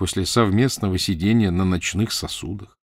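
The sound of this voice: The reading is done in an unforced reading voice. Nothing more stands out.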